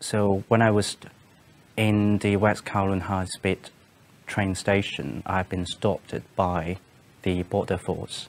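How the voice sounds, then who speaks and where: Delivery is very slow, with long, frequent pauses. The intonation stays monotone and flat. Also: man, fairly low pitch for a man. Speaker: interviewee. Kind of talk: interview answer. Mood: calm, serious recounting. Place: studio.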